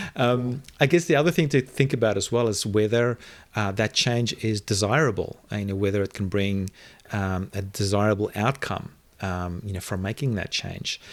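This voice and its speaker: This man talks at a moderate pace with a South African accent, fairly low pitch and ordinary pitch variation. The recording is very clean, with a silent background. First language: Afrikaans. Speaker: online video marketing entrepreneur. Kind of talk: interview conversation. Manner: hesitant, many fillers and repetitions.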